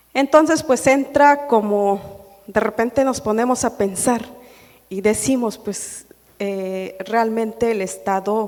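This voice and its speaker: A woman speaks with a Chiapas accent at a fairly high pitch. Her pace is very slow, with ordinary pitch variation. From Chiapas, Mexico (Chilón, Tseltal community). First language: Tseltal (speaking Spanish). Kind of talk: panel discussion. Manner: halting, many fillers.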